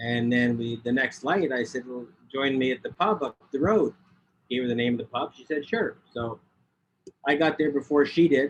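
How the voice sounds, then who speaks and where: A man's medium-pitched voice at a moderate pace, with ordinary pitch variation and big swings in loudness. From Canada. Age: 60s. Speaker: public speaker. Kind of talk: interview. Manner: halting, many repeated words.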